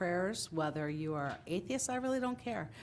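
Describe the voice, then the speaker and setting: The woman's pitch sits fairly low. Audible room echo surrounds her voice. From Italian-American, New Jersey. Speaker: town councilwoman. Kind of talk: council meeting remarks. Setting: council chamber with audience. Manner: loud.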